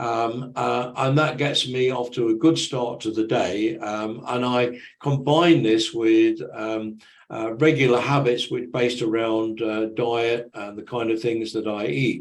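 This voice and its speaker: Audible room echo surrounds a man speaking at a medium pitch with ordinary variation. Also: fairly slow pace. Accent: British. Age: 70s. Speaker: conference presenter. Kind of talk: presentation. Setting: online conference presentation. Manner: halting, many fillers.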